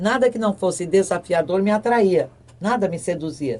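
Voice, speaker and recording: A woman speaks at a moderate pace in a fairly low voice with a dark, mellow tone. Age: 70s. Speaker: retired sports reporter. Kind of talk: interview.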